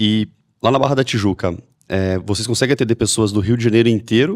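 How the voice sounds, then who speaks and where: A normal speaking voice at a moderate pace, in a very clean recording with a silent background. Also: man. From Brazil, Mogi Mirim, São Paulo state. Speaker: podcast host. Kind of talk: podcast interview.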